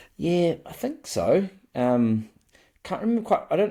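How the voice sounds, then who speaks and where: A man with a New Zealand accent speaks at a moderate pace with lively intonation and a dark, mellow tone, in a very clean recording with a silent background. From New Zealand, Wellington (Johnsonville). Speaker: rugby league fan podcaster. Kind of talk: casual chat.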